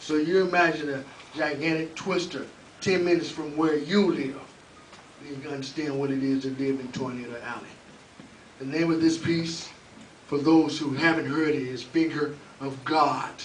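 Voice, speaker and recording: Someone with an American accent speaks with fairly even intonation and long, frequent pauses, amid audible room echo and noticeable background noise. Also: man, fairly high pitch for a man, moderate pace. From Oklahoma, Oklahoma City. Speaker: open mic host and spoken word poet. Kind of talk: spoken word poetry performance; open mic hosting.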